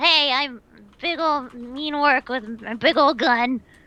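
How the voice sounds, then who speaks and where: In a put-on character voice, a female-sounding speaker talks at a fairly slow pace and a high pitch. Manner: comic, exaggerated.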